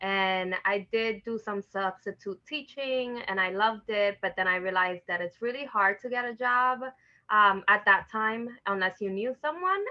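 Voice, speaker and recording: In a New York accent, a woman with medium pitch and ordinary pitch variation talks at a moderate pace. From New York City, the Bronx (Dominican family). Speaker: educator, parent engagement facilitator. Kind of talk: interview. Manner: casual, many filler words.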